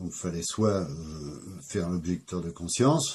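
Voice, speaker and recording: This man has a dark, mellow tone that is somewhat breathy. He speaks at a fairly slow pace with lively intonation. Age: 60s. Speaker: interviewee recounting his life. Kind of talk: life story interview. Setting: at home. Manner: hesitant, many fillers.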